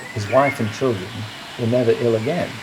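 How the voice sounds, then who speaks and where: A man talks at a medium pitch, and noticeable background noise can be heard. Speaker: local storyteller. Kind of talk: folk tale storytelling. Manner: casual, conversational, with hesitations.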